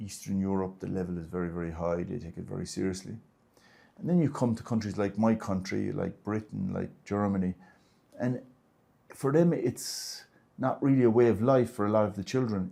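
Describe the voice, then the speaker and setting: In an Irish accent, a man speaks at a fairly low pitch and a fairly quick pace, with a dark, mellow tone and ordinary pitch variation. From Ireland. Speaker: martial arts grandmaster and federation president. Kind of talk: interview. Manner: halting.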